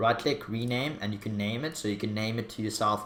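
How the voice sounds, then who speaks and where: A man's fairly low voice with a strong Afrikaans accent at a fairly quick pace, with audible room echo. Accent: Afrikaans accent, strong by own account. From South Africa. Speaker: YouTuber. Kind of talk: tutorial. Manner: casual, hesitant with fillers.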